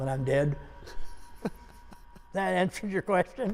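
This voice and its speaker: Over noticeable background noise, a man with an American accent speaks fairly slowly in a high voice with lively intonation. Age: 80s+. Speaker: basketball coach. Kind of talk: interview answer.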